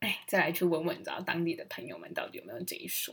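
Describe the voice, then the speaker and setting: Here a woman speaks at a medium pitch. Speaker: podcast host. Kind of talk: casual monologue. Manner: animated.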